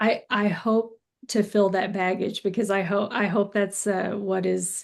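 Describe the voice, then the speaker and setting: The voice has vocal fry and a monotone, flat intonation. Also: woman. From Arkansas Ozarks, Fulton County. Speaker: novelist and college teacher. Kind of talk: interview conversation.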